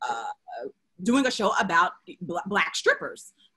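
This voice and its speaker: A woman does the talking. Her accent is American. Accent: Memphis Southern dialect, at times. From Memphis, Tennessee (US South). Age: 30s. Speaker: TV show creator and writer. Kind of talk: panel interview. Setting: video call.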